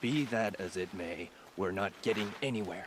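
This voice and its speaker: A man does a put-on character voice at a fairly low pitch, with clear background noise behind him. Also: moderate pace. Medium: video game. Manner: dry, matter-of-fact.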